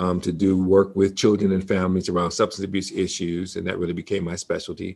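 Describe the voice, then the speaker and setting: In a very clean recording with a silent background, a man with an American accent speaks in a very deep, low voice with monotone, flat intonation. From Detroit, Michigan. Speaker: seminary president and minister. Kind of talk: interview conversation.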